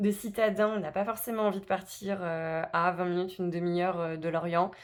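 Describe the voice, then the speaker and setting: A woman's medium-pitched voice at a moderate pace, flat and monotone in intonation. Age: 30s. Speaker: personal finance vlogger. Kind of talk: casual vlog self-introduction. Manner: hesitant, many filler words.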